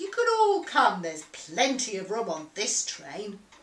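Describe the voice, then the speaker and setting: This is a man using a put-on character voice pitched high. He talks at a moderate pace. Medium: read story. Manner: hearty, cheerful.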